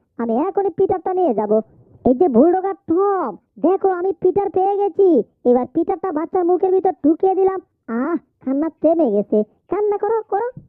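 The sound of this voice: An extremely high-pitched cartoonish character voice at a moderate pace.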